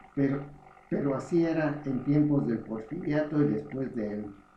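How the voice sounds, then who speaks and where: Audible room echo surrounds a man speaking at a fairly slow pace. His pitch moves with ordinary variation. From Mexico, Morelia, Michoacán. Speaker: memoir author. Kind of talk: reading aloud.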